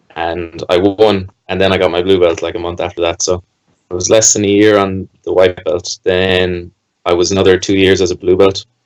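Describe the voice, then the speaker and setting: The speaker has a Limerick accent and keeps a moderate pace with monotone, flat intonation. The sound is dry and close, with no echo. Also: man, very deep, low pitch for a man. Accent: Irish (Limerick). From Ireland, Limerick. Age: 20s. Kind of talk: podcast interview. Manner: casual.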